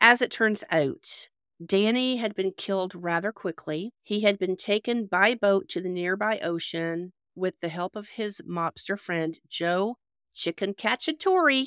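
A woman's medium-pitched, ordinary speaking voice, fairly slow, with ordinary pitch variation and a dry, close sound with no echo. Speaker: true crime podcast host. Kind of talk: casual podcast interview and storytelling. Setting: remote call with guests in different time zones.

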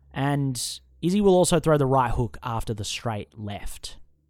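The speech moves at a fairly slow pace with lively intonation, and the recording is very clean with a silent background. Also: man. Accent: Australian. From Australia. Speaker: MMA podcast host. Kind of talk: solo fight preview monologue. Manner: casual, profane, rambling.

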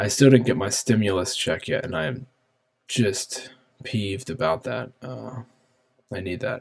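A man's voice with vocal fry, a fairly slow pace and long, frequent pauses. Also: medium pitch for a man, ordinary pitch variation. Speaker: podcaster. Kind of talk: casual solo podcast monologue. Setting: home office, recording alone. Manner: rambling, filler words, casual.

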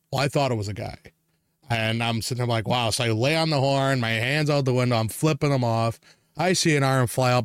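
An animated man with an American accent, medium pitch, ordinary pitch variation and a fairly quick pace. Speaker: podcast host. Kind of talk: casual chat, storytelling, angry rant. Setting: podcast recording. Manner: animated, profane, ranting.

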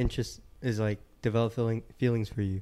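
At a moderate pace, a man talks in a medium pitch. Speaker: podcast host. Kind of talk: casual chat.

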